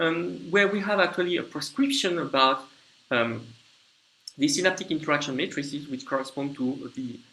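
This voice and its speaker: The voice has a bright, sharp tone and a fairly quick pace. Audible room echo surrounds it. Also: man. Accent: French. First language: French. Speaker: lecturer. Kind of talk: lecture. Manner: halting, with frequent fillers and restarts.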